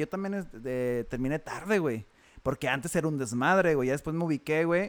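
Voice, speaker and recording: Speaking fairly fast, a man lets his intonation rise and fall in a lively way. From Matamoros, Coahuila, Mexico. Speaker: taekwondo instructor. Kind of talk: casual chat.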